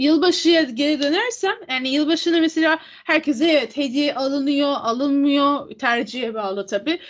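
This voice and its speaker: Her voice is high-pitched as this woman talks at a moderate pace. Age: 20s. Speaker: podcast co-host. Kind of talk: casual chat.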